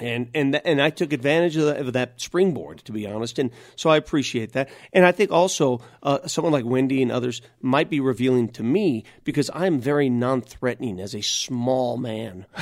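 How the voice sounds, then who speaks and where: A normal speaking voice from a man at a medium pitch, fairly quick in pace, with ordinary pitch variation on a very clean recording with a silent background. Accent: American. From US, North Denver, Colorado. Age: 50s. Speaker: sports radio host. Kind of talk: casual interview.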